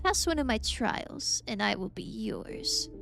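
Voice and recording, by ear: A raspy put-on character voice from a woman at a fairly slow pace, with clear music in the background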